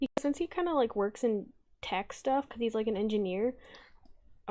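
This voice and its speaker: Speaking at a fairly quick pace in an American accent, a woman has a fairly high pitch and ordinary pitch variation. Her tone is dark and mellow, and the background is quiet. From US South. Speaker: streamer and artist. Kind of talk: casual chat while drawing on stream.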